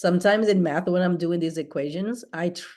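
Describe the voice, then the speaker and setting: A woman speaks with a non-native accent. Her pitch is fairly low. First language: not English. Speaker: accounting student. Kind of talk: tutoring session.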